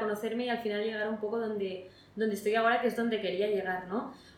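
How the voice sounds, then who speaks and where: Very fast speech comes from a woman with a fairly high pitch and fairly even intonation. Noticeable background noise and audible room echo fill the recording. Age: 20s. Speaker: recent graduate. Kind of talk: interview. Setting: in person interview.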